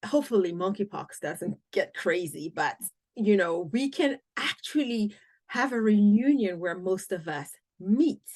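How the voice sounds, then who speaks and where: A woman speaks with a Cameroonian accent at a medium pitch. Her intonation is lively and her pace fairly slow. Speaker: podcast host. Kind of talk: podcast interview.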